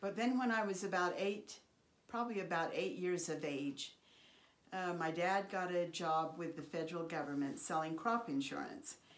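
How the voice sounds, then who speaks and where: A woman with an American accent speaks at a moderate pace in a fairly low voice, with audible room echo around her. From Idaho, US (Oakley). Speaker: family elder sharing life stories. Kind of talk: oral history interview.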